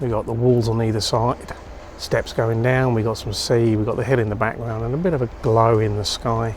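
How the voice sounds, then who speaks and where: Soft-spoken and fairly quick, the speaker keeps a fairly even intonation over noticeable background noise. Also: man, medium pitch for a man. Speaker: landscape photographer vlogger. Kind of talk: vlog tutorial. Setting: outdoors.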